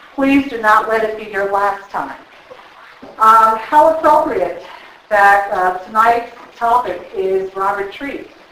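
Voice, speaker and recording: A woman's fairly high voice at a very slow pace, with big swings in loudness, lively intonation and noticeable background noise. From New Jersey. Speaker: historical society president. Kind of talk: welcome remarks. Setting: stage with audience.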